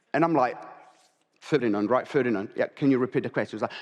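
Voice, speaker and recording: A man with a non-native accent talks in an animated tone, his fairly high voice rising and falling with lively intonation. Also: quiet background. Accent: noticeable non-native. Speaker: real estate agent. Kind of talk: conference keynote. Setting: stage with audience. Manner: fast.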